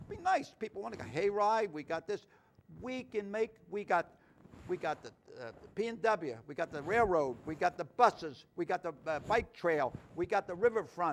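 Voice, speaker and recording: A man with a Philadelphia accent speaks at a high pitch and a moderate pace in an animated tone with lively intonation, on a very clean recording with a silent background. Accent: Philadelphia-area American. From US Northeast, Norristown, Pennsylvania. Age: 80s+. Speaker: talk show host. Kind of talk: casual interview chat.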